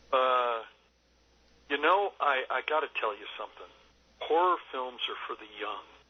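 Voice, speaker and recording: Speaking at a fairly slow pace, a man leaves long, frequent pauses while his loudness swings widely. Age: 60s. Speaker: film director. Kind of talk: interview. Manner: halting, many fillers.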